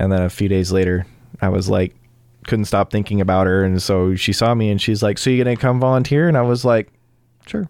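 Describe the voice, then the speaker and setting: Here a man with an unremarkable speaking voice talks at a fairly quick pace and a fairly low pitch, with ordinary pitch variation. His loudness stays very even, and the recording is very clean with a silent background. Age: 20s. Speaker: EMT and future firefighter. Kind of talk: casual chat. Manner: filler-heavy speech.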